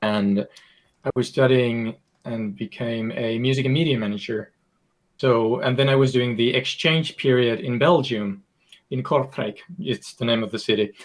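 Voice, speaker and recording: A man speaks with a Finnish accent at a medium pitch. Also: ordinary pitch variation, moderate pace. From Finland. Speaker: video game designer. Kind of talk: podcast interview.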